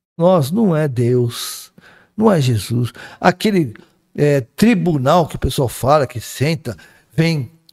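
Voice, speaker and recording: A man with a fairly high pitch and a somewhat breathy voice speaks at a very slow pace, his pitch swinging very widely, on a very clean recording with a silent background. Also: long, frequent pauses. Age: 60s. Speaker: spiritist speaker. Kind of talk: casual chat.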